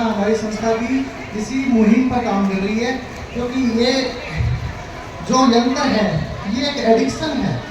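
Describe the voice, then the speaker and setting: Here a man talks at an extremely high pitch with fairly even intonation and long, frequent pauses. Noticeable background noise runs underneath. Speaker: poet; NGO founder. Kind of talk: speech to live audience. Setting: live stage event.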